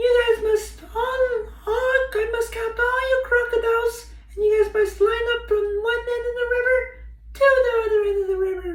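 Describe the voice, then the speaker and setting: Over light background noise, a put-on character voice squeaks at an extremely high pitch and a moderate pace. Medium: read story. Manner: cheeky, teasing.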